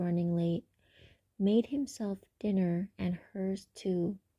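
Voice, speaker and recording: Speaking at a very slow pace, a woman has a dark, mellow, somewhat breathy tone, fairly even intonation, and a dry, close sound with no echo. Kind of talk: ASMR book reading. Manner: soft-spoken, not whispered.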